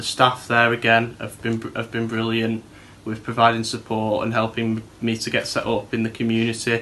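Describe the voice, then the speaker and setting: Speaking in a Manchester accent, a man keeps a moderate pace and a medium pitch. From Manchester, northern England. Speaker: TV show presenter, former rehab resident. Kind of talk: personal testimony. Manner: hesitant, with fillers and repetitions.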